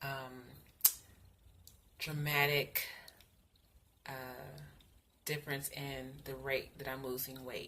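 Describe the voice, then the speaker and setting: A woman speaks very slowly in a very deep, low voice with a bright, sharp tone and flat, monotone intonation, leaving long, frequent pauses amid audible room echo. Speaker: vlogger sharing weight loss surgery journey. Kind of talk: casual video update. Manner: halting with fillers.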